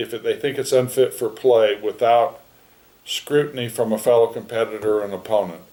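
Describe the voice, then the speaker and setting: This man's voice sits at a medium pitch and has a dark, mellow tone. He talks at a moderate pace with ordinary pitch variation. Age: 70s. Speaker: golf professional, rules official. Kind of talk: interview. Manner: halting; casual.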